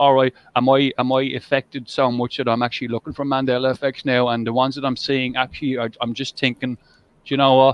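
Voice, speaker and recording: A man with an Irish accent, medium in pitch, very fast in pace, with monotone, flat intonation. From Ireland. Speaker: live stream host. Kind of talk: casual chat. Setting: live stream. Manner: halting.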